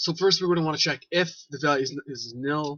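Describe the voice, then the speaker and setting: He speaks at a fairly high pitch. This man's pitch variation is ordinary. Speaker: Roblox scripting tutorial maker. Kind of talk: tutorial. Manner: fast; halting at times.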